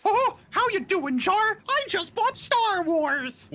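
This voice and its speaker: An extremely high put-on character voice speaks at a very slow pace. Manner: cheerful, friendly.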